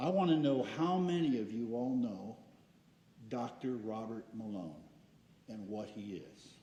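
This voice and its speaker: With lively intonation, a man speaks at a medium pitch in a dark, mellow tone. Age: 70s. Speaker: public commenter at school board meeting. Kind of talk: public comment speech. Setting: school board meeting.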